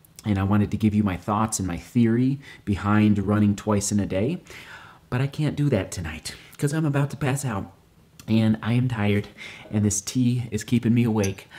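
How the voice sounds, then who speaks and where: A quiet man speaks with a fairly low pitch and a dark, mellow tone. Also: ordinary pitch variation, moderate pace. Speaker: running vlogger. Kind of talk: casual vlog talk. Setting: at home at night. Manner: quiet, hushed. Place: kitchen. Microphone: phone near.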